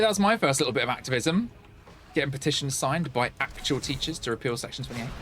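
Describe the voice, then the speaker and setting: Noticeable background noise sits behind a man talking at a very fast pace. His pitch swings very widely. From Essex, England. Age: 40s. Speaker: live streamer. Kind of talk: casual chat while gaming.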